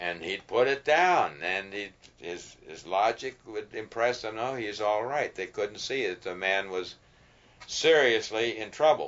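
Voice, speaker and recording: This is a normal speaking voice with lively intonation. The loudness swings a lot. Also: man, fairly low pitch for a man, fairly slow pace. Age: 60s. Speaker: farmer and former soldier. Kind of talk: documentary interview.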